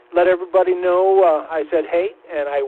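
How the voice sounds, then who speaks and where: Noticeable background noise is present. A man speaks at a high pitch. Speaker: amateur radio operator and news reader. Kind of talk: casual chat. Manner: slow; clear diction.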